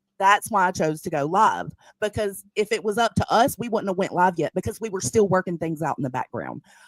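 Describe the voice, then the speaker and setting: Lively intonation and a fairly quick pace come through in a dry, close sound with no echo. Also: woman. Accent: Southern US. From US South. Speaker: live streamer. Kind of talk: live stream reaction commentary.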